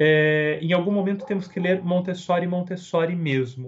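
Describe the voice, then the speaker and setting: A man speaks with a São Paulo accent. His pace is fairly slow. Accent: Brazilian Portuguese, São Paulo. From Brazil, São Paulo. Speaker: Montessori researcher and educator. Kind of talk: interview. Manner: hesitant repetitions.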